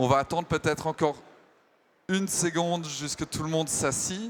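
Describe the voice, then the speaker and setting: A man's delivery shows ordinary pitch variation and a moderate pace. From Germany. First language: German (speaking French). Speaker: panel moderator, tech company executive. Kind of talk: conference panel moderation. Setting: stage with audience at trade show. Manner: hesitant, many fillers.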